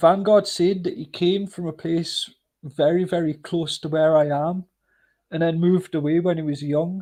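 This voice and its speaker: Against a quiet background, a man with a Northumbrian accent speaks at a moderate pace in a high pitch, a dark, mellow tone and fairly even intonation. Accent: North Northumbrian, Berwick upon Tweed. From northern England, Northumberland near Berwick-upon-Tweed. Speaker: live stream host. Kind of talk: casual chat. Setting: livestream.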